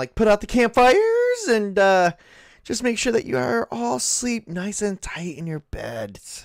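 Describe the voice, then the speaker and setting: This man puts on a character voice with a high pitch. He talks in a sing-song way at a fairly slow pace. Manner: voice wavering up and down, sing-song.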